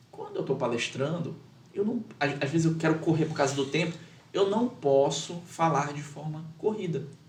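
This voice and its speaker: Audible room echo surrounds a man speaking at a moderate pace. His pitch is fairly high for a man, with ordinary variation. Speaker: lawyer and public speaking teacher. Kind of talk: podcast interview. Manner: measured with many pauses.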